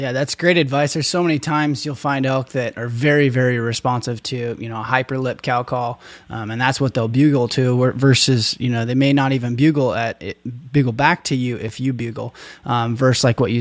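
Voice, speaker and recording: A plain, everyday voice with an American accent speaks at a fairly quick pace with fairly even intonation. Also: man. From Oregon. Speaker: podcast host. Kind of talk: podcast interview.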